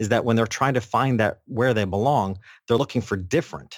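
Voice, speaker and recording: In a plain, everyday voice of medium pitch, a man talks at a fairly quick pace with lively intonation and an American accent, captured on a very clean recording with a silent background. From upstate New York. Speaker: business coach and podcaster. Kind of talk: interview conversation.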